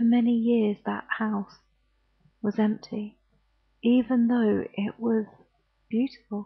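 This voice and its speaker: Soft-spoken and somewhat breathy, a woman with a British accent talks at a fairly slow pace and a fairly high pitch. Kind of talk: bedtime ghost story reading.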